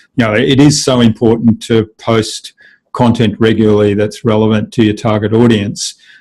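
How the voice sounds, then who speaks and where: With an Australian accent, a man speaks at a medium pitch. His moderate pace carries a dark, mellow tone. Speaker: digital marketing agency owner. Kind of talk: interview.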